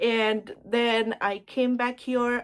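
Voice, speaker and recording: A woman's fairly high voice with an Indian accent. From India (Surat, Gujarat). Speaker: lifestyle vlogger. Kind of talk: casual get-ready-with-me vlog chat. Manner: casual, chatty with fillers.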